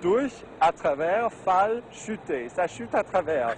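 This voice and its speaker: An animated tone with very wide pitch swings comes through over noticeable background noise. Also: man. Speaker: TV and radio presenter. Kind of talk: interview answer. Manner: lively, animated.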